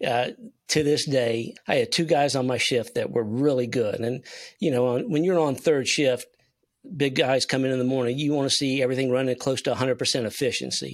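With a South Carolina accent, a man speaks at a fairly quick pace and medium pitch, keeping his intonation fairly even and his loudness very even. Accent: Southern US (South Carolina). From US South, South Carolina (Spartanburg). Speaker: sales consultant. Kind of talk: casual interview.

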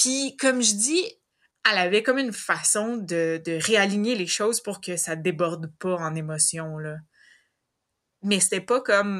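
A woman speaks at a fairly slow pace in a medium pitch. She leaves long, frequent pauses. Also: lively intonation, very clean recording, silent background. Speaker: host's older sister. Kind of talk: casual interview.

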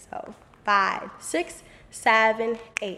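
A woman speaks with a fairly high pitch. Background noise can be clearly heard. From New York (Bronx). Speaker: dance teacher. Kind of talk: tutorial.

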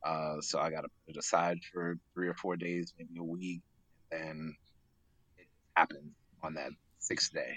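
A man speaks with a very deep, low pitch and a bright, sharp tone in monotone, flat intonation. He goes at a fairly slow pace with long, frequent pauses. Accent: American. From Queens, New York. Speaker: clothing brand founder. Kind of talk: casual interview.

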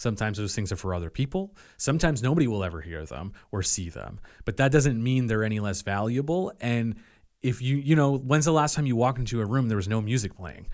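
Speaking very fast with lively intonation, a man of medium pitch talks with a Nova Scotia accent on a very clean recording with a silent background. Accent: southwest Nova Scotia Acadian English. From Nova Scotia, Yarmouth County (Acadian). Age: 30s. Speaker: musician and music publicist. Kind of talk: casual chat.

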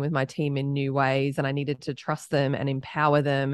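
Over a quiet background, a woman with an Australian accent talks at a moderate pace, her very deep, low pitch delivered with monotone, flat intonation. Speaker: startup founder and CEO. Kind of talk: casual interview conversation.

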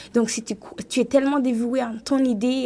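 Dark, mellow tone with fairly even intonation. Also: woman. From Rwanda. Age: 20s. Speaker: writer and event entrepreneur. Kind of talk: radio panel discussion.

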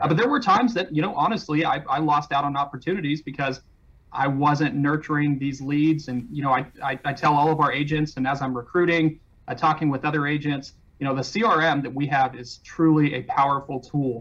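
Fairly quick and fairly high-pitched, a man speaks in a plain, everyday voice with ordinary pitch variation. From California, Mojave Desert. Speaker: real estate broker owner. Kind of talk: interview.

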